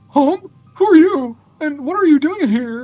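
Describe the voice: In a put-on character voice, high-pitched and nasal, someone talks at a moderate pace with faint music in the background.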